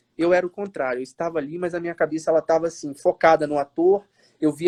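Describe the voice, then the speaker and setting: A man speaks very fast at a fairly high pitch, his tone dark and mellow. His intonation stays fairly even, and the sound is dry and close with no echo. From Minas Gerais, Brazil (Matias Barbosa, near Juiz de Fora). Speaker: actor. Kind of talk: interview on a live stream. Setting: live video stream.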